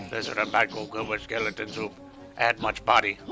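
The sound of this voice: Using a put-on character voice, a man speaks in a guttural, monotone, flat delivery at a medium pitch and moderate pace with music in the background.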